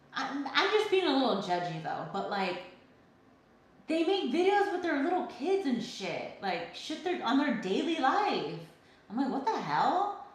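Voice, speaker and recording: Over noticeable background noise and audible room echo, a woman speaks loudly and fairly slowly in a high voice, her tone animated and her pitch swinging very widely. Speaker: livestreamer, soap maker. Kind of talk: casual chat. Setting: livestream.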